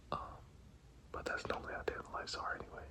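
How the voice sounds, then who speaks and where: Against noticeable background noise, a man is whispering. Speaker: cycling vlogger. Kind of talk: casual vlog narration.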